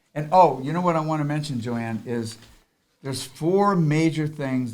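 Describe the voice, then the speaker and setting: This man has a fairly high pitch and an animated tone, with lively intonation at a moderate pace, and there is audible room echo. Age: 70s. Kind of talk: casual chat.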